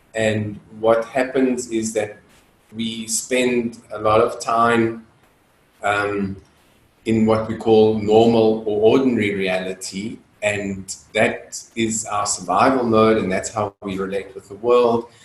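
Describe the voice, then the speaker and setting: A man speaks at a very slow pace in monotone, flat intonation, with audible room echo. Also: medium pitch for a man. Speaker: dance facilitator. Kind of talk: lecture. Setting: video call. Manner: loud; halting, many fillers.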